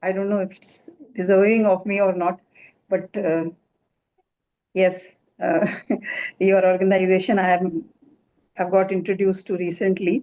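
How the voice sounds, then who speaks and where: A woman speaks in an Indian accent at a medium pitch. Her pace is moderate and her intonation fairly even. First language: Hindi. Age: 70s. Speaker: doctor. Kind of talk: award acceptance speech.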